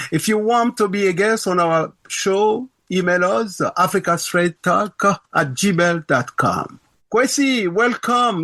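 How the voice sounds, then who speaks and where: With a raised, projected voice, a man speaks very slowly in a high, bright and sharp tone at very even loudness, the sound dry and close with no echo. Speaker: podcast host.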